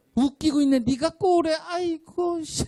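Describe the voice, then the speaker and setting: The put-on character voice is high-pitched and moves at a moderate pace. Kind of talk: colloquial, scornful. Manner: sneering, mocking.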